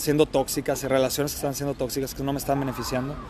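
A man speaks over noticeable background noise. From Mexico, Guadalajara. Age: 30s. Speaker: immigrant sharing life story. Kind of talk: casual interview. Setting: beachfront café.

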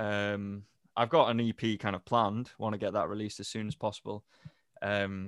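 Heard dry and close with no echo, a man talks at a fairly low pitch in a flat monotone. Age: 20s. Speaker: musician and music student. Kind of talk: casual interview. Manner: halting.

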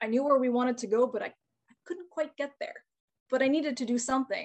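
Here a woman speaks at a fairly quick pace with a high pitch. She talks with a Canadian accent. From Northern Ontario, Canada (Timmins area). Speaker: chicken farmer and online educator. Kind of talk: casual interview.

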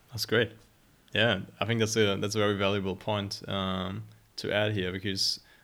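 A man talks in a German accent. His fairly low voice stays monotone and flat. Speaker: podcast host. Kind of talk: casual interview. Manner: halting, hesitant.

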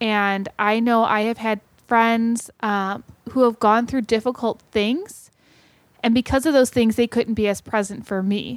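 A plain, everyday voice with an American accent, fairly slow and fairly even in intonation, dry and close with no echo in a very clean recording with a silent background. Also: woman, fairly high pitch for a woman. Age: 30s. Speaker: teacher and podcast co-host. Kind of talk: casual chat.

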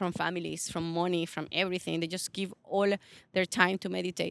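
A woman speaks on a very clean recording with a silent background, the sound dry and close with no echo. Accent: Latin American. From Venezuela. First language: Spanish. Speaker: posture specialist and personal trainer. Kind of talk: interview.

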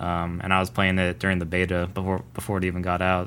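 With a fairly low pitch, a man speaks in a bright, sharp tone. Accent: American. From Los Angeles, California. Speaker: podcast co-host. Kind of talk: casual chat. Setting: remote recording.

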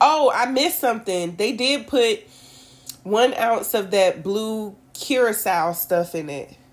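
A woman speaks at a very slow pace with lively intonation. Music plays in the background. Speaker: podcast host. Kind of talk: more formal, standard-sounding speech than her co-host. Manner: even, composed delivery; keeps her usual way of speaking.

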